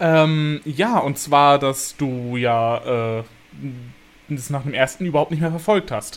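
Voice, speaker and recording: At a very slow pace, a man with fairly high pitch speaks with ordinary pitch variation. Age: 20s. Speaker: YouTuber. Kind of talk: casual chat.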